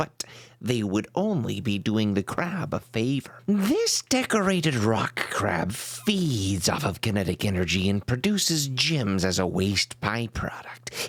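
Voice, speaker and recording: A man's put-on character voice at a medium pitch, delivered at a fairly slow pace. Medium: solo performance.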